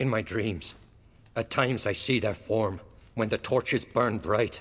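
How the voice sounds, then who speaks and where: Putting on a character voice, the man speaks at a medium pitch and a moderate pace. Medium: video game. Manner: fearful, fatalistic.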